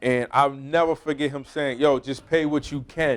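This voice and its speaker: Speaking with an American accent, a man uses a fairly high pitch. His intonation is monotone and flat. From US Northeast (Brockton, Massachusetts). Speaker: podcast host, former pro football player. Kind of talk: casual conversation.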